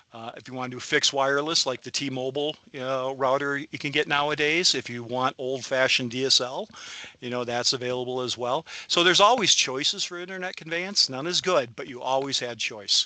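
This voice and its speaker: The man's loudness swings widely as he talks fairly quickly at a medium pitch with ordinary pitch variation. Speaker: internet provider representative giving a webinar. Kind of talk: webinar presentation with Q&A. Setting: video call webinar. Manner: fast; halting, many fillers.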